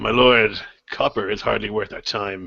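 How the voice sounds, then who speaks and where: A raspy, put-on character voice from a man, medium in pitch and moderate in pace. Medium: actual play. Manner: gruff, brash.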